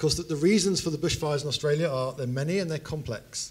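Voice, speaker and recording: A man at a very fast pace, somewhat breathy, with ordinary pitch variation. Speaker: speaker. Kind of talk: lecture. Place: hall. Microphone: handheld.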